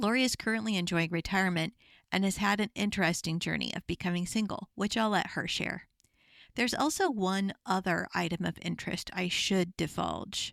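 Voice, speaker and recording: A woman with an American accent talks at a fairly quick pace in a plain, everyday voice of medium pitch and ordinary pitch variation, on a very clean recording with a silent background and a dry, close sound without echo. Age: middle-aged. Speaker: podcast host. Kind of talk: podcast interview; scripted introduction.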